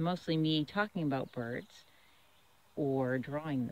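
A woman with an American accent, her pitch very deep and low, in a dry sound with no echo. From Massachusetts (Waltham); Massachusetts. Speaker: children's author and illustrator. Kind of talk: casual outdoor vlog narration. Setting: outdoors.

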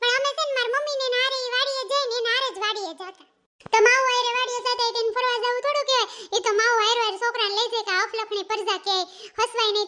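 A woman's squeaky, cartoonish character voice, extremely high in pitch and very fast. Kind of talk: comic cartoon dialogue. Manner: chatty, teasing.

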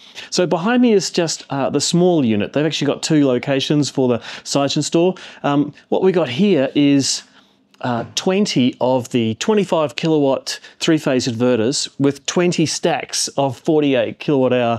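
A man speaks at a fairly slow pace with lively intonation. The background is quiet. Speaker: tech reviewer. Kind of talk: casual vlog chat. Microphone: phone near.

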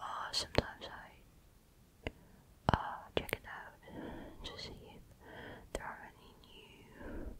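A soft-spoken whisper at a very slow pace over loud background noise. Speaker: asmr makeup creator. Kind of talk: soft-spoken tutorial chat. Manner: soft close-mic ASMR whisper. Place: home room. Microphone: studio mic.

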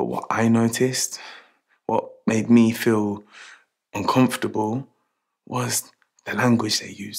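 At a fairly slow pace, a man speaks with big swings in loudness over a quiet background. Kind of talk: scripted monologue to camera, training film. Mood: reflective, uneasy. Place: shop.

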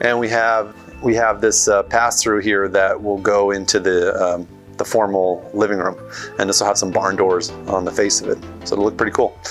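Over faint background music, a man with a fairly low pitch talks with very even loudness and fairly even intonation. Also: moderate pace. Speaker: renovation contractor. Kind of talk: walkthrough commentary. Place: home room. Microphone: phone near.

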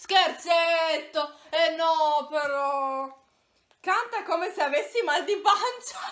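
Speaking at a very slow pace, a woman uses lively intonation at an extremely high pitch. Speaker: video host. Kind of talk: casual vlog chat. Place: home room. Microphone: phone near.

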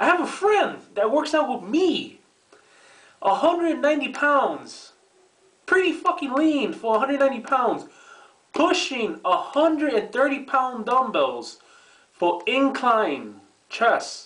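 Very slow delivery with long, frequent pauses, lively intonation and very even loudness over a quiet background. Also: man, extremely high pitch for a man. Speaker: fitness vlogger. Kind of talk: casual rant to camera. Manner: profane, annoyed. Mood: annoyed, ranting. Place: bathroom. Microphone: webcam.

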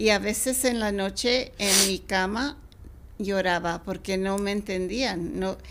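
A woman speaks at a very slow pace and a medium pitch. Her pitch varies in an ordinary way, over light background noise. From Mexicali, Mexico, then California; Mexico. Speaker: children's book author and former teacher; interviewee. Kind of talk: interview. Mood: warm, reflective storytelling. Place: studio. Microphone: studio mic.

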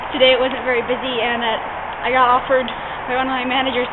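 Loud background noise surrounds a woman who talks at a fairly quick pace. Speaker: vlogger. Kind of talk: casual vlog chat. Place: garage. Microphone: phone near.

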